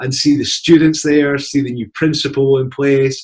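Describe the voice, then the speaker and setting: A man with a Scottish accent and fairly high pitch speaks at a moderate pace. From Scotland. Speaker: university partnership representative. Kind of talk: presentation.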